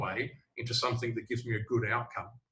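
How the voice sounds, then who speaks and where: With an Australian accent, a man talks fairly quickly. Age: old. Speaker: sales trainer. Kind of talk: casual chat.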